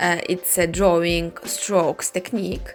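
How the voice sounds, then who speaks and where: Over music in the background, a woman with a Russian accent speaks at a fairly slow pace in a fairly low pitch. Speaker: clothing customizer, artist. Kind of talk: tutorial.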